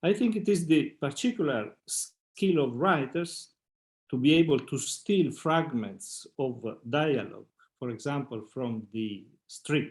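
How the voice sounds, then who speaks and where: In a very clean recording with a silent background, a man talks very slowly with very wide pitch swings. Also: fairly high pitch for a man. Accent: Italian. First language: Italian. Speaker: psychoanalyst. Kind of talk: reading aloud. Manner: halting.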